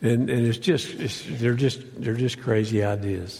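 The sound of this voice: This man has a medium pitch and a raspy voice with vocal fry, a dark, mellow tone, fairly even intonation and a fairly slow pace.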